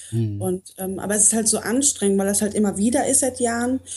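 A woman's fairly high voice comes across somewhat breathy, with a dark, mellow tone. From Poland, raised in North Rhine-Westphalia. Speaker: coaching client. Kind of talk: personal coaching talk. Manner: halting, many fillers.

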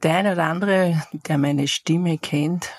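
In a dry, close sound with no echo, a woman speaks at a fairly slow pace, her raspy voice low in pitch with fairly even intonation.

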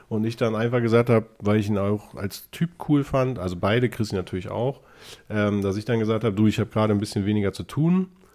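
A man's voice, fairly low in pitch, carries a dark, mellow tone. He talks at a very fast pace with ordinary pitch variation. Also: very clean recording, silent background. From northern Germany, Lower Saxony. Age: 40s. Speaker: self-employed salesperson. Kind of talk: casual chat. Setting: studio.

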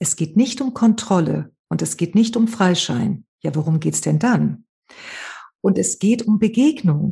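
A somewhat breathy voice against a quiet background. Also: woman. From Spain, Malaga. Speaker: trauma therapist and author. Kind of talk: interview.

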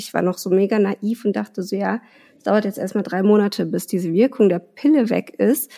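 Vocal fry runs through a woman's dark, mellow voice. Her pitch is medium, with ordinary variation. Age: 30s. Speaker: mother sharing fertility treatment story. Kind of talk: personal interview, emotional testimony.

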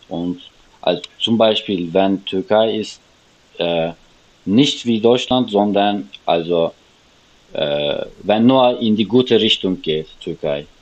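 Speaking very slowly with long, frequent pauses, a man uses a fairly low voice and a Turkish accent. His pitch varies in an ordinary way. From Turkey, Istanbul. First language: Turkish (speaking German). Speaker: refugee guest. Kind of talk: interview. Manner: halting.

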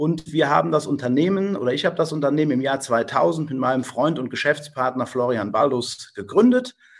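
A man with an ordinary speaking voice, fairly high in pitch, with lively intonation, a fairly quick pace and hardly any pauses. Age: 40s. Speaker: business owner. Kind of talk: interview self-introduction.

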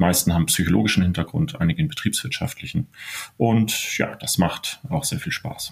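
A somewhat breathy man speaks at medium pitch and a moderate pace. His pitch swings very widely. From northern Germany (Stade, Elbe). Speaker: business psychology professor and consultant. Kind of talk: interview.

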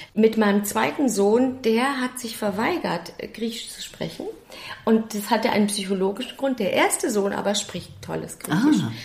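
Over noticeable background noise and audible room echo, a woman with a fairly high pitch talks at a moderate pace with ordinary pitch variation. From Germany, Stuttgart. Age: 50s. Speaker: actress and singer. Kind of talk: interview.

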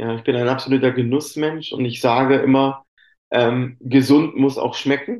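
A man with a fairly high pitch uses an ordinary speaking voice and fairly even intonation. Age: 40s. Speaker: chocolate company employee and sommelier. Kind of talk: interview.

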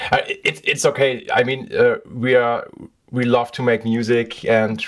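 At a fairly slow pace, a man with a German accent talks at a medium pitch. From Germany (Essen, western Germany). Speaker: podcast host, guitar repairer. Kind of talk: casual interview chat. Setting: repair shop cellar. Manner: halting, many fillers and repetitions.

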